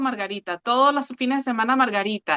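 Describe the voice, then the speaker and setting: A woman talks at a very fast pace in a Caracas accent with a bright, sharp tone. Her intonation is fairly even, and the sound is dry and close with no echo. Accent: Venezuelan (Caracas). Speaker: podcast co-host. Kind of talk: casual chat.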